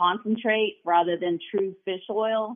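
At a moderate pace, a woman speaks with fairly even intonation in an unremarkable speaking voice. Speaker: eye doctor and nutritionist. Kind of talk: radio call-in health talk.

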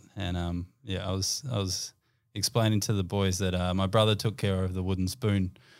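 A man with an Australian accent, very deep and low in pitch, monotone and flat, at a moderate pace on a very clean recording with a silent background. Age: 30s. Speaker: sports team high performance manager. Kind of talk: casual chat.

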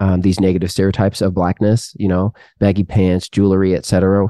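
In a dry, close recording with a quiet background and no echo, a man with a dark, mellow tone and fairly low pitch speaks at a moderate pace. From Seattle area, Washington State (born in Canada). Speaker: pastor and podcast host. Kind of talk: casual interview conversation.

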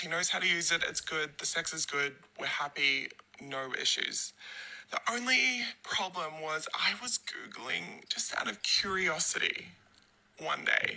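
Over noticeable background noise, a woman with a fairly low pitch speaks in very wide pitch swings. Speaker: listener sending a voice message. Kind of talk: recorded voice message. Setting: voice memo recording.

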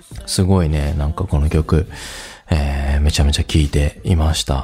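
Noticeable background noise sits behind a man speaking at a very deep, low pitch. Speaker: radio host. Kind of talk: radio DJ patter, relaxed music-show chat introducing songs and segments. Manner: casual, conversational, filler-heavy with frequent "えー" and "あの", friendly and easygoing.

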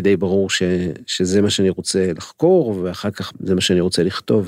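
Over a silent background in a very clean recording, a man with a fairly low pitch speaks at a fairly quick pace. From Israel, Holon. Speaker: crime novelist and literature lecturer. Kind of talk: interview conversation. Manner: hesitant, many fillers.

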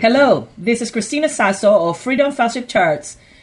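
A woman speaks in a somewhat breathy voice at a fairly high pitch and a moderate pace. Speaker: pastor and radio host. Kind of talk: religious radio talk.

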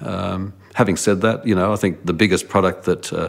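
Speech goes at a moderate pace. The accent is Australian. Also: man. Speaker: former research director. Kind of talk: interview. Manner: halting.

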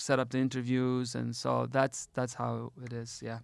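Medium-pitched male voice. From US, Detroit, Michigan. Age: 30s. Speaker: radio host and NGO founder. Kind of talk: casual interview conversation.

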